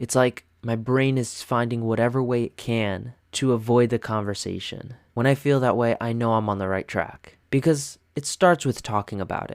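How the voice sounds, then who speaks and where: Over a very clean recording with a silent background, a man speaks in a relaxed tone at a medium pitch and a moderate pace. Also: dry, close sound with no echo. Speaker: podcast host. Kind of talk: solo podcast monologue. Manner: relaxed, casual.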